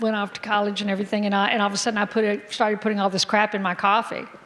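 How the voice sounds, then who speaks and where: A woman's voice sits at a medium pitch. Background noise can be noticeably heard. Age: 60s. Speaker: physician. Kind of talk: health seminar talk. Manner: animated.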